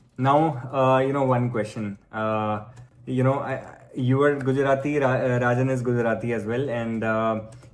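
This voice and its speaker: Spoken at a moderate pace in a flat monotone, the voice carries audible room echo. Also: man, medium pitch for a man. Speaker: French coach. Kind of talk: interview.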